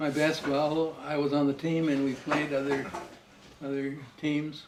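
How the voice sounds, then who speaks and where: A man's fairly high voice in a monotone, flat delivery at a moderate pace, with noticeable background noise. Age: old. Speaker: grandfather. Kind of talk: interview answer. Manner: casual, reminiscing.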